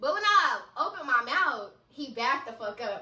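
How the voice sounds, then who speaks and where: The voice is raised and projected, animated in tone, bright and sharp, with very wide pitch swings. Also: woman. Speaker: storytime vlogger. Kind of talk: storytime. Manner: loud.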